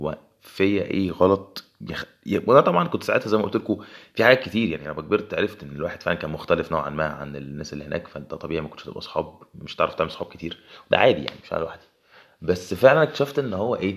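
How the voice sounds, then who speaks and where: A man's very deep, low voice in an Egyptian accent, very fast, with very wide pitch swings and big swings in loudness. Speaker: podcaster. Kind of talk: solo podcast monologue.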